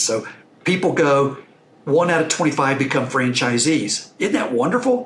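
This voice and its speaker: Someone with a Texan accent speaks at a moderate pace amid noticeable background noise and audible room echo. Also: man. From Texas. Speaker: investor and franchise owner. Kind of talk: podcast interview.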